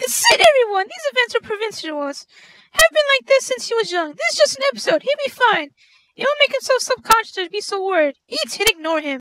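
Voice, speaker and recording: In a squeaky put-on character voice, a woman talks at an extremely high pitch with very wide pitch swings and a fairly quick pace, the sound dry and close with no echo. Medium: stage play. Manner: brisk, commanding.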